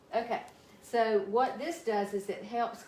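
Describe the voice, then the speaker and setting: A woman speaks at a fairly slow pace with audible room echo around her. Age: 60s. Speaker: physical therapist and health coach. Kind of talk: casual health talk to viewers. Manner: halting, many fillers.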